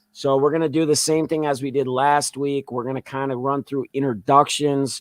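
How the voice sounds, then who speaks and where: At a moderate pace, a man speaks in a flat monotone with a fairly high pitch, the sound dry and close with no echo. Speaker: podcast host. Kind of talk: live podcast talk show. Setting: live stream.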